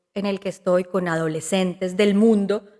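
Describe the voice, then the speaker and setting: Here a woman speaks at a moderate pace with fairly even intonation. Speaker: comedian and actress. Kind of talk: podcast interview.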